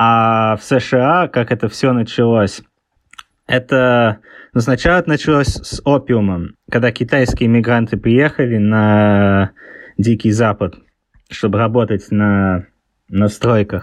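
Speaking at a very slow pace with long, frequent pauses, a man keeps a medium pitch, ordinary pitch variation and very even loudness. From England (born in Leningrad, moved around). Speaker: author. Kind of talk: interview. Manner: halting, with many fillers.

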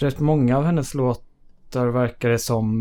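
His tone comes across as dark and mellow. The man's voice sits at a medium pitch. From Sweden, Södertälje. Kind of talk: casual chat.

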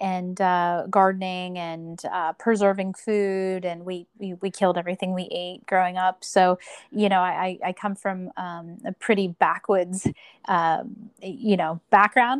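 A woman with an American accent and a medium pitch, a plain, everyday voice, speaks at a fairly slow pace with fairly even intonation in a dry, close sound with no echo. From rural Pennsylvania, US. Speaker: podcast host. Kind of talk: interview.

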